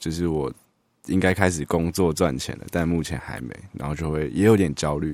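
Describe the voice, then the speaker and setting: A man with a very deep, low pitch, moderate pace and ordinary pitch variation. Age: 20s. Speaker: psychology graduate student. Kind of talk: casual chat.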